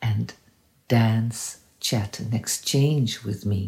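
A woman talks at a very slow pace. Her tone is dark, mellow and somewhat breathy. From Netherlands. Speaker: interdisciplinary artist. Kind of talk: promotional self-introduction.

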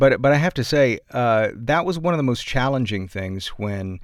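In an American accent, a man speaks at a moderate pace and a medium pitch with lively intonation, on a very clean recording with a silent background. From Atlanta, Georgia, US South. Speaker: podcast narrator and news radio host. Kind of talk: casual interview chat.

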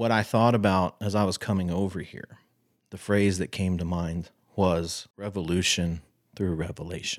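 With a Texan accent, a man speaks at a moderate pace in a very deep, low voice with fairly even intonation, recorded very cleanly against a silent background. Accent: Texan American English. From Texas. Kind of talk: interview conversation.

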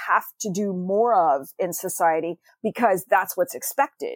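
Using a normal speaking voice, a woman talks with lively intonation in a dry, close sound with no echo. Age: 50s. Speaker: novelist. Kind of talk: interview.

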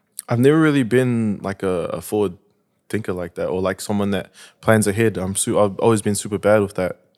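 A man's fairly low voice at a fairly quick pace, with ordinary pitch variation, on a very clean recording with a silent background. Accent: New Zealand. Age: 20s. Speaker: rapper. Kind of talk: casual chat.

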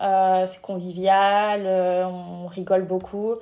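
A woman with a dark, mellow tone and medium pitch speaks at a very slow pace in a monotone, flat intonation. The recording is very clean, with a silent background. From France, Cognac. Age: 20s. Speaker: intern and master's student. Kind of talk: interview.

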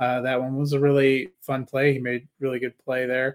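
A man speaks at a moderate pace in an unremarkable speaking voice of medium pitch. The recording is very clean, with a silent background. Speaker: fantasy football podcast co-host. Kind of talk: casual banter, sports analysis.

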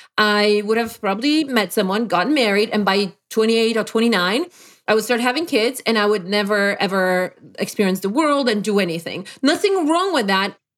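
With a Polish accent, a woman talks at a fairly quick pace in a fairly high pitch, her intonation lively and her loudness very even. The recording is very clean, with a silent background. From Poland. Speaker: life performance coach. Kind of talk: interview.

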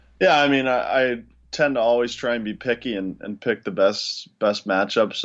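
This is a man with a plain, everyday voice. He speaks at a moderate pace with ordinary pitch variation. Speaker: hockey podcast co-host. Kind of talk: casual hockey podcast chat.

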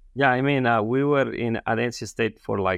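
Using a Spanish accent, a man speaks at a moderate pace. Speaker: feed science professor, co-host. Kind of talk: interview conversation. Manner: halting, many fillers.

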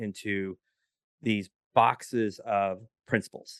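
A man is speaking against a quiet background. The sound is dry and close, with no echo. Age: 40s. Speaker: entrepreneur and podcast services provider. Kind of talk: casual chat.

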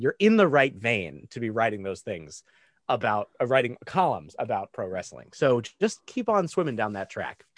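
Against a quiet background, a man with vocal fry speaks at a moderate pace through very wide pitch swings. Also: dry, close sound with no echo. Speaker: podcaster. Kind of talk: casual chat. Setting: remote call.

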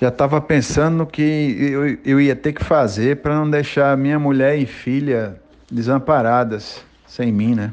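A man talks in a normal speaking voice, fairly high in pitch. His pace is fairly slow and his intonation fairly even. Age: 40s. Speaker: businessman, multiple sclerosis patient. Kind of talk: personal testimony.

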